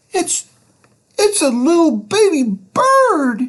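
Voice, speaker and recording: A man's put-on character voice, squeaky and extremely high, with very wide pitch swings at a very slow pace. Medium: read story.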